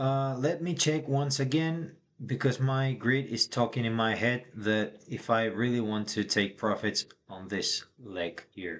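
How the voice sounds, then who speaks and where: A man with a non-native accent talks at a fairly slow pace. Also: medium pitch for a man, ordinary pitch variation. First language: not English. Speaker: day trader. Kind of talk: live trading commentary.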